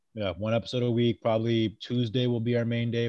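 This man has a normal speaking voice at a medium pitch. He speaks at a fairly quick pace with an American accent. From New England and Maryland, US. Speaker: podcast host, navy sailor. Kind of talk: casual chat.

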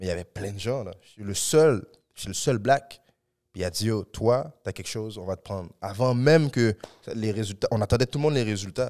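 Speaking at a fairly quick pace, a man with an ordinary speaking voice uses a fairly low pitch and ordinary pitch variation. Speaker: actor and comedian. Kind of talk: casual podcast interview.

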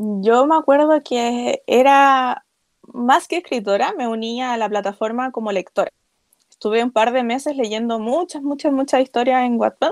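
A woman talks at a fairly slow pace with a high pitch and ordinary pitch variation. The sound is dry and close, with no echo. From Chile. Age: 20s. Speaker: author and illustrator. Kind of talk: interview.

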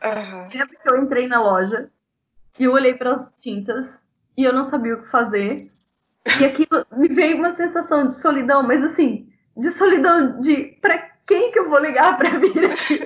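With lively intonation, big swings in loudness and long, frequent pauses, a woman speaks at a moderate pace and high pitch. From Brazil, small town. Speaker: psychologist and migrant rights activist. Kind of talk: casual interview.

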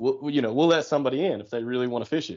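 A man with an American accent uses a normal speaking voice at a medium pitch, his intonation fairly even. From southeastern Ohio, on the Ohio River. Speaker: kayak fishing tournament organizer. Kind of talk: casual interview.

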